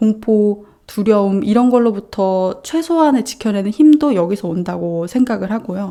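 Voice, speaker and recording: A woman speaks at a medium pitch and a moderate pace. Her tone is dark and mellow. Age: 30s. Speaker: web novelist and vlogger. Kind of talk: casual talk to camera.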